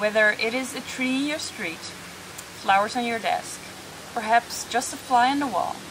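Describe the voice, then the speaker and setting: The woman's voice sits at a fairly high pitch. Noticeable background noise runs under it. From Netherlands. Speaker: meditation teacher. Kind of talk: guided meditation. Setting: outdoors in a jungle on Bali, video. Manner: calm, gentle, soothing; slow, unhurried, reassuring.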